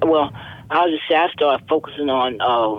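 A woman's pitch rises and falls in an ordinary way amid noticeable background noise. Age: 70s. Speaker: mother of murder victim. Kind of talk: personal testimony interview.

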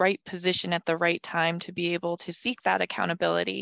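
A woman speaks in an ordinary speaking voice at a moderate pace, her pitch fairly low. The sound is dry and close, with no echo. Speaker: podcast co-host. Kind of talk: interview.

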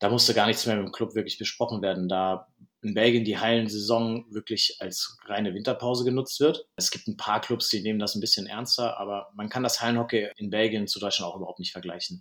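A man with an unremarkable speaking voice talks at a fairly quick pace with hardly any pauses. His pitch is medium and his intonation fairly even. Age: 30s. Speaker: field hockey goalkeeper. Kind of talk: interview.

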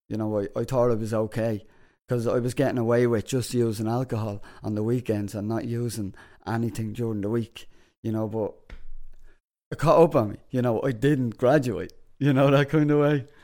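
With an Irish accent, a man speaks at a fairly quick pace in a dark, mellow tone at medium pitch, his intonation fairly even, on a very clean recording with a silent background. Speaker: podcast host. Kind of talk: casual chat. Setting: studio.

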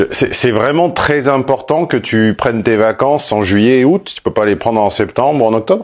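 Using a plain, everyday voice, a man speaks at a moderate pace with a medium pitch, lively intonation, and hardly any pauses. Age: 50s. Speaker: negotiation coach. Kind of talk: consultation call.

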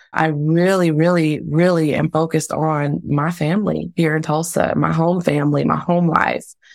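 A woman with an American accent speaks at a moderate pace in an unremarkable speaking voice. Her pitch sits fairly low. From Texas, Dallas. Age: 40s. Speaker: diversity and leadership consultant. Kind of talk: interview conversation.

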